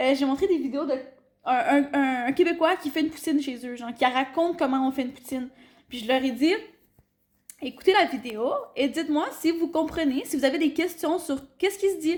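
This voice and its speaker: Speaking at a moderate pace in a Quebec accent, a woman uses a high pitch with ordinary pitch variation. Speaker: teacher on internship abroad. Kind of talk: casual chat. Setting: at home over dinner.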